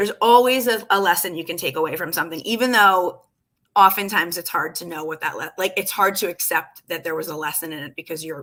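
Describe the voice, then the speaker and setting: A woman speaks at a very fast pace in a bright, sharp tone. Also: big swings in loudness. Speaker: life coach. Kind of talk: casual livestream chat. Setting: live video stream.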